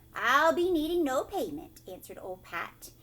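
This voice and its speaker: Her voice raised and projected, a woman does a put-on character voice, pitched high with very wide pitch swings. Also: moderate pace. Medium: read story.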